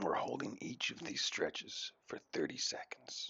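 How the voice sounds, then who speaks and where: Whispering, a man speaks with an Irish accent. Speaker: yoga instructor. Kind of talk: ASMR yoga instruction voice-over. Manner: humorous, tongue-in-cheek.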